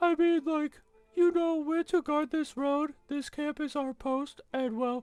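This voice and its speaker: The speaker uses a high-pitched put-on character voice. Delivery is fairly slow. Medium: game stream. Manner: restless, nervous.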